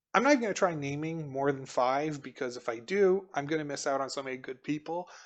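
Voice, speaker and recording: This man speaks at a very fast pace with fairly high pitch. His pitch varies in an ordinary way. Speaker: mahjong commentator. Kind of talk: live commentary. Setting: live stream. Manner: calm.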